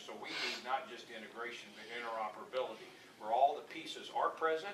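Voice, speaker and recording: Amid noticeable background noise and audible room echo, a man talks very fast at medium pitch with ordinary pitch variation. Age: 60s. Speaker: political candidate. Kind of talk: campaign speech with Q&A.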